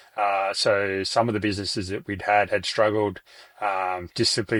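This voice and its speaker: Speaking at a fairly quick pace in an Australian accent, a man holds a monotone, flat intonation at a fairly low pitch on a very clean recording with a silent background. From regional Australia. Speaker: business owner. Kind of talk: interview. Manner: halting.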